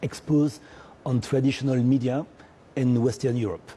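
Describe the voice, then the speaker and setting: A man with a French accent speaks at a moderate pace and medium pitch, somewhat breathy with a dark, mellow tone. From French Caribbean. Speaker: media entrepreneur. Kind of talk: TV interview. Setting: TV studio. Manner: hesitant, many fillers.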